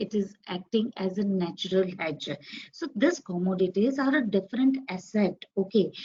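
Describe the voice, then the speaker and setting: A somewhat breathy woman's voice at medium pitch. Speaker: trading instructor. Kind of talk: online class. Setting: live webinar with screen share.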